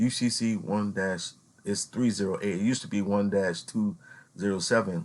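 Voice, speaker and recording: Against a quiet background, a man speaks at a fairly low pitch in an ordinary speaking voice. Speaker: youtuber explaining legal theory. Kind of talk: informal tutorial reading from a document. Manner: casual, repeats filler phrases.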